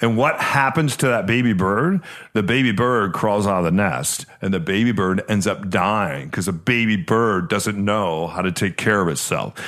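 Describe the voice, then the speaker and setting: A man's unremarkable speaking voice, fairly low in pitch, with lively intonation, very even loudness, a moderate pace and hardly any pauses. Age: 50s. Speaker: podcast host and realtor. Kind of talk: casual chat.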